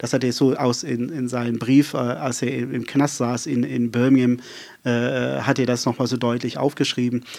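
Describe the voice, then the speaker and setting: A man's medium-pitched voice at a moderate pace, with monotone, flat intonation. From South Africa, rural Western Cape. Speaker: pastor. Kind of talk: casual interview chat. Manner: fluent and flowing; many filler hesitations.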